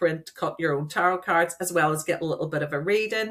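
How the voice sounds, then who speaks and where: In a Northern Irish accent, the speaker talks at a moderate pace. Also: woman. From Northern Ireland, Derry. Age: 40s. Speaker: coach and event organiser. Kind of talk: podcast interview.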